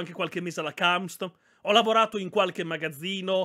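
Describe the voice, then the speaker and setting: In a dry, close sound with no echo, a man speaks at a fairly quick pace in a raised, projected voice with a bright, sharp tone. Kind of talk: casual chat. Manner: animated, chatty, profane.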